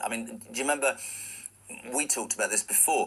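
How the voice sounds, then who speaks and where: A man rattles along at a very fast speed as noticeable noise plays behind him. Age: 60s. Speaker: radio host. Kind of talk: radio interview.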